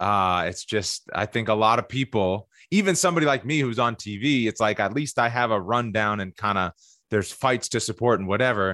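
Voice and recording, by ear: A man speaks at a moderate pace in a fairly low, gravelly voice with a bright, sharp tone and ordinary pitch variation, on a very clean recording with a silent background.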